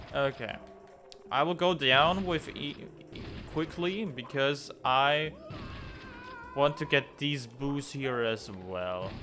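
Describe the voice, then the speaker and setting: Over music in the background, a man with a German accent speaks very slowly in a fairly high pitch, with lively intonation and long, frequent pauses. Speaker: gaming YouTuber. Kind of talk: let's play commentary. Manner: casual, halting at times.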